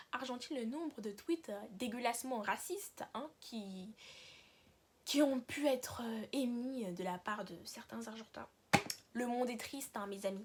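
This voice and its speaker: A woman with a fairly high pitch and a somewhat breathy voice speaks with ordinary pitch variation. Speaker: YouTuber. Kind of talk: casual vlog monologue. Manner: fast.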